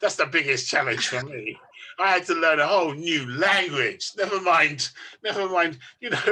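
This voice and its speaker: This man's voice sits high for a man, with a London accent, ordinary pitch variation and a moderate pace. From London, England. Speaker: author. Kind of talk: interview. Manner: casual, rambling with fillers.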